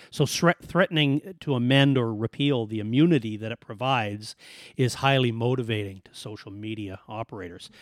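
A man with an ordinary speaking voice talks at a medium pitch in a Canadian accent, with ordinary pitch variation. The recording is very clean with a silent background, and the sound is dry and close with no echo. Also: fairly quick pace, big swings in loudness. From Alberta, Canada. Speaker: podcast host. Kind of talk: casual chat.

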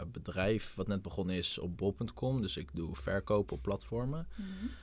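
A man talks at a fairly slow pace with vocal fry. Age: 20s. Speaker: young entrepreneur. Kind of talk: casual chat.

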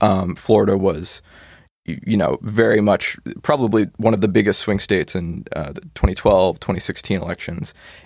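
A man with an American accent and a normal speaking voice, fairly low in pitch, at a moderate pace with ordinary pitch variation. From Arizona, Maricopa County. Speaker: college student. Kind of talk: casual political discussion.

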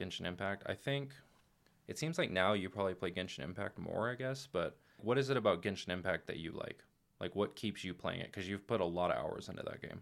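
In a very clean recording with a silent background, a man with a normal speaking voice talks at a fairly quick pace, his fairly low pitch moving with lively intonation. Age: 30s. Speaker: podcast host and father. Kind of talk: casual chat.

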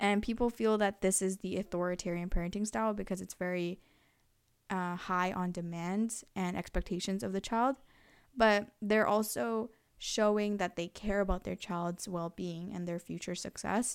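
On a very clean recording with a silent background, a woman with an unremarkable speaking voice and medium pitch talks at a moderate pace with fairly even intonation. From Canada, Korean family. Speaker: student podcast host. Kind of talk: casual interview with lecture-style explanations.

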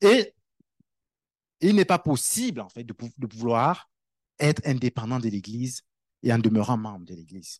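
An animated man at a medium pitch against a quiet background, fairly slow in pace, with lively intonation, big swings in loudness and long, frequent pauses. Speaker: preacher. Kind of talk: sermon. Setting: church. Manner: conversational, animated preaching with everyday analogies and repetition.

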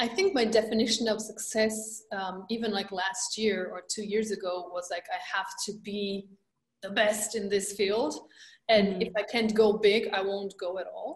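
A woman's fairly high, somewhat breathy voice at a moderate pace, flat and monotone in intonation. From Romania. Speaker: energy healer and empowerment coach. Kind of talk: interview.

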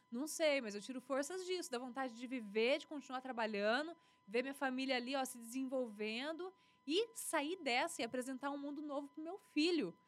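Her pitch is high, with ordinary variation. The woman talks at a moderate pace. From western São Paulo state, Brazil. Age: 30s. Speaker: TV news anchor and journalist. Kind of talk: casual interview.

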